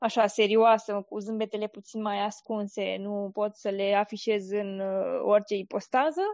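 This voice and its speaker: A woman's plain, everyday voice at medium pitch and moderate pace. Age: 20s. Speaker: blogger and military employee. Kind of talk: interview.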